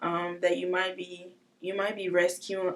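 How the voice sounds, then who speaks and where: A woman's medium-pitched, monotone voice with flat intonation, at a fairly slow pace. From West Africa, Togo. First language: not English. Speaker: trafficking survivor. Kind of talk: testimony. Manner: hesitant, many fillers.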